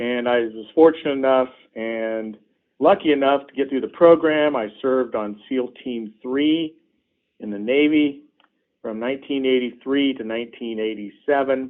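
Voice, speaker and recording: The speaker has a plain, everyday voice with an American accent. The pace is moderate, with ordinary pitch variation. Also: man, medium pitch for a man. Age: 60s. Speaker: politician. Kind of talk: interview. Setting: phone call.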